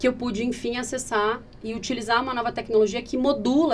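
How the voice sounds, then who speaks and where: A woman's voice over noticeable background noise. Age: 30s. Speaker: patient advocate, founder of a patient organization. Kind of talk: podcast interview. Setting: podcast recording. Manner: fast.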